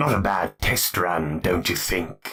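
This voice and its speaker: A man does a put-on character voice, raspy and very deep in pitch. He moves at a fairly slow pace with very wide pitch swings. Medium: read story. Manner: measured, cultured.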